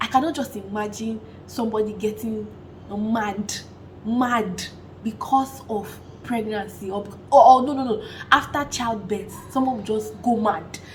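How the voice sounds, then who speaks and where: A woman with a Nigerian accent speaks in an animated tone at a fairly high pitch and a fairly slow pace, with long, frequent pauses and audible room echo. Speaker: vlogger. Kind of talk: casual vlog talk.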